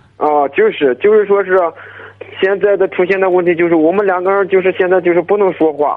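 A man with a high pitch speaks at a fairly quick pace, with fairly even intonation and very even loudness, amid noticeable background noise. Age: 20s. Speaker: construction worker. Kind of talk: advice call-in. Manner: mumbling. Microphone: muffled, speakerphone.

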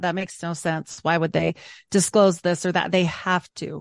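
An unremarkable speaking voice from a woman, fairly low in pitch, at a moderate pace with fairly even intonation and a dry, close sound with no echo. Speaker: podcaster guest. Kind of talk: casual roundtable discussion.

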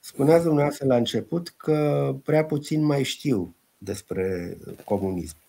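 Very slowly, a man speaks at a fairly high pitch with very wide pitch swings. His tone is dark and mellow. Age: 50s. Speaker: historian. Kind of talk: interview.

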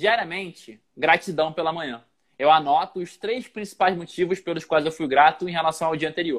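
Energetic in tone, a man speaks at a high pitch and a moderate pace. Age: 30s. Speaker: motivational speaker and author. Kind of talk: casual interview on Instagram live. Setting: livestream video call.

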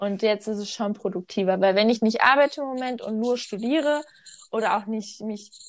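A woman's fairly high-pitched, normal speaking voice at a moderate pace against a quiet background. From North Rhine-Westphalia, Germany. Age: 20s. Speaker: podcast co-host. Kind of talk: casual chat.

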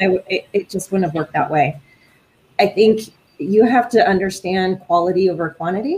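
Somewhat breathy, a woman speaks at a moderate pace, medium in pitch with ordinary pitch variation. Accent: American. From California. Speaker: military senior enlisted leader. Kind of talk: casual interview. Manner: animated.

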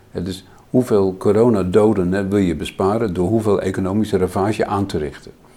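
Fairly quick, fairly even speech from a man with a fairly low pitch and a dark, mellow tone. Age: 70s. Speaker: physician and philosopher. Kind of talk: in-depth interview conversation.

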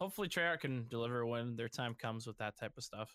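A man speaks with an American accent at medium pitch. His pace is fairly quick and his tone bright and sharp. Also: dry, close sound with no echo. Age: 20s. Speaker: gamer. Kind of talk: casual chat.

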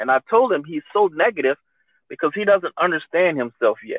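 A man talks at a moderate pace. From Louisiana. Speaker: retired military veteran. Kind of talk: casual chat.

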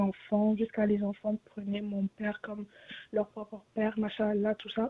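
A woman speaks at a fairly high pitch. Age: 20s. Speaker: caller. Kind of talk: call-in question.

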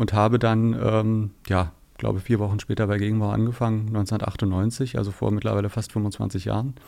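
Over a silent background in a very clean recording, a man speaks with fairly low pitch, a dark, mellow tone and fairly even intonation. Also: moderate pace. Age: 50s. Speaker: sustainability and communications manager. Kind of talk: casual interview.

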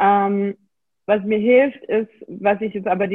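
The speaker is a woman with a medium pitch. She keeps a flat, monotone delivery. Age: 20s. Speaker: endometriosis patient and self-help coach. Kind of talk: interview, personal testimony.

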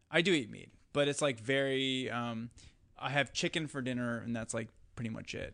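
Speaking with an Upper Midwest accent, a man has a bright, sharp tone at a medium pitch. His intonation is fairly even, though his loudness swings a lot. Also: moderate pace. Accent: Upper Midwest American. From US Midwest, west central Wisconsin. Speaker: documentary filmmaker and podcaster. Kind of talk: casual chat.

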